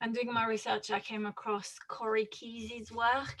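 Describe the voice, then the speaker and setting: Speaking in a flat monotone at a moderate pace, a woman with a French accent holds a fairly high pitch. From France. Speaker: author and researcher on student wellbeing. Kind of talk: interview. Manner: halting.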